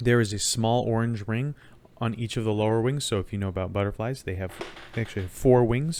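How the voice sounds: A natural reading voice. Its pitch variation is ordinary.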